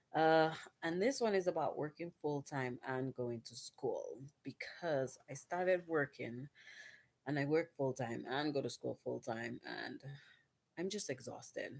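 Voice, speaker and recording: Quiet and at a fairly slow pace, a woman speaks with a very deep, low pitch and lively intonation. The sound is dry and close, with no echo. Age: 30s. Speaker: vlogger and nursing student. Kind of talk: casual vlog monologue. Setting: at home at night. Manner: quiet, hushed.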